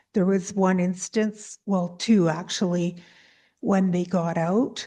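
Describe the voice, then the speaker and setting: Soft-spoken and very slow, the voice has a dark, mellow tone, fairly even intonation and very even loudness over a quiet background. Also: woman, medium pitch for a woman. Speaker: applicant, alpaca farmer. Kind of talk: hearing testimony.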